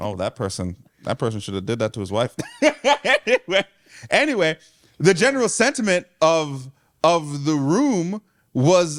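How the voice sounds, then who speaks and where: A loud, animated man at a moderate pace with long, frequent pauses, his fairly high pitch making very wide swings, in a dry, close sound with no echo. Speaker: church leader and podcast co-host. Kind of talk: casual chat.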